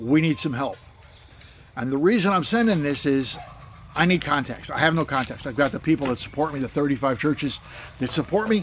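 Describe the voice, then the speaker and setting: With an American accent, a man speaks at a fairly quick pace and a fairly high pitch, leaving long, frequent pauses amid noticeable background noise. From United States. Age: 70s. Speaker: missionary. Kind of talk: casual appeal video monologue. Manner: halting, repetitive.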